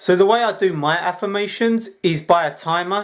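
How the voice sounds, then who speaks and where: A man with a British accent and ordinary pitch variation. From UK. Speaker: self-help vlogger. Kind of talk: casual tutorial.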